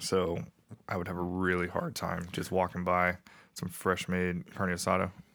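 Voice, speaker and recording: In an American accent, the speaker keeps a monotone, flat intonation at a moderate pace on a very clean recording with a silent background. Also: man, very deep, low pitch for a man. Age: 30s. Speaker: military veteran. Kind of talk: casual chat.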